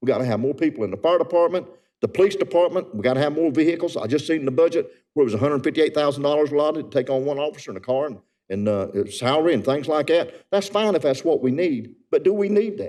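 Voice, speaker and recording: Talking very fast with a North Carolina accent, a man has a fairly high pitch, a dark, mellow tone and lively intonation. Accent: Southern US (North Carolina). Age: 70s. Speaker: resident speaking at public comment. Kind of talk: public comment at council meeting. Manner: earnest, impassioned.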